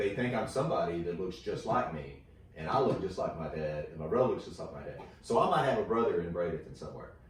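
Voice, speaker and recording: A man with an American accent talks at a very fast pace with big swings in loudness. Noticeable background noise runs underneath. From Texas. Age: 40s. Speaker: comedian. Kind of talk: casual chat. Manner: halting, many fillers.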